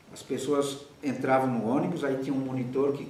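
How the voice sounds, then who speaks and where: Over noticeable background noise and audible room echo, a man talks at a fairly quick pace in a fairly high voice. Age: 70s. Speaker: theatre director. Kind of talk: interview.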